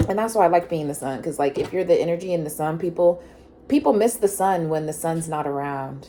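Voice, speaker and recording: A woman talks at a fairly quick pace. Her voice sits fairly low, with ordinary pitch variation. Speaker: tarot reader. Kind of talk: tarot reading. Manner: fast.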